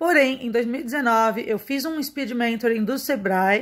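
This woman talks at a fairly slow pace in a high pitch. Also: quiet background. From Brazil, São Paulo. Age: 30s. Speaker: marketing and media professional. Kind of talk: self-presentation video. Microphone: phone near.

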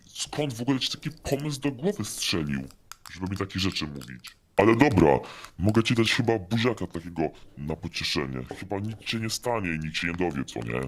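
Using a put-on character voice, a man races at a very fast pace with a very deep, low pitch and very wide pitch swings. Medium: machinima. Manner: casual, hesitant filler words.

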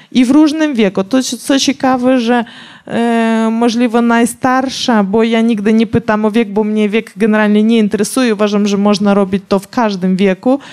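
With a Ukrainian accent, a woman talks at a moderate pace and fairly high pitch, her intonation fairly even and her speech hardly broken by pauses. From Ukraine. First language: Ukrainian (speaking Polish). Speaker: professional boxer; guest. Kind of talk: public talk interview. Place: stage. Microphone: handheld.

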